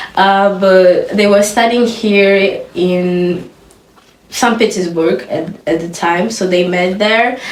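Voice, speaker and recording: A woman of medium pitch speaks at a very slow pace. Her intonation is fairly even, and the room echo is audible. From Angola. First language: Russian. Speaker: interview guest, student. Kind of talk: casual interview.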